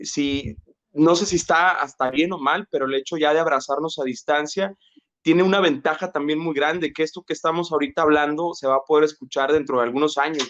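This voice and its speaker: A normal speaking voice at a fairly quick pace, with fairly even intonation. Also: man, fairly high pitch for a man. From Mexico, Jalisco (Tuxpan), moved to Monterrey at 12. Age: 30s. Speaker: psychologist, labor relations specialist. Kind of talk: interview conversation. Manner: many fillers and repetitions.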